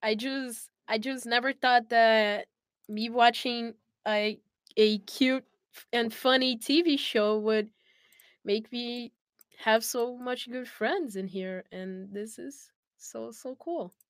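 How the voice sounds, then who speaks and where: A woman with a Brazilian accent and a fairly high pitch speaks at a very slow pace with long, frequent pauses, big swings in loudness and ordinary pitch variation, on a very clean recording with a silent background. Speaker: voice actor. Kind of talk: casual chat.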